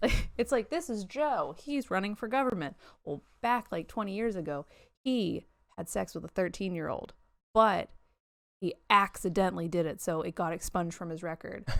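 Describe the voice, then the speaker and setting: A woman talks at a moderate pace with a medium pitch. Her intonation is lively, and the recording is very clean with a silent background. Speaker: podcast host. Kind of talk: casual chat. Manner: loud.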